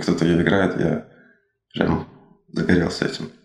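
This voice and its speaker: Music playing behind a man with a very deep, low voice. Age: 30s. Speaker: drummer. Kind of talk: interview. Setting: studio.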